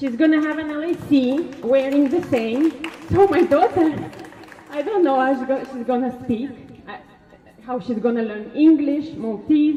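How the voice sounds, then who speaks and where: A woman with a Russian accent speaks at a high pitch, with ordinary pitch variation and big swings in loudness. Crowd noise fills the background, and room echo is audible. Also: moderate pace. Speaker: parent speaking at a protest. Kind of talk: public speech at a protest. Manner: halting.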